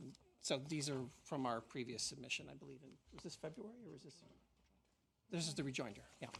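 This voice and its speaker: A man talks at a very fast pace broken by long, frequent pauses, with vocal fry and big swings in loudness. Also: fairly high pitch for a man, lively intonation. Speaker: counsel for claimants. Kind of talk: legal opening submissions.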